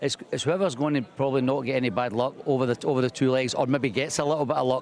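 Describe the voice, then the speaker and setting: Delivered at a very fast pace, the speech has a Scottish accent and fairly even intonation. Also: man. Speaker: speedway team manager. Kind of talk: pre-match interview.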